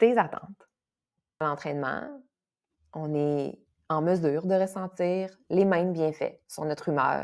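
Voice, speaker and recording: A woman with a fairly low pitch talks fairly slowly, her pitch varying in an ordinary way. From Quebec, Saguenay. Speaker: kinesiologist and yoga teacher. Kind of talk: casual podcast interview. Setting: podcast recording. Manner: animated, with frequent fillers and repetitions.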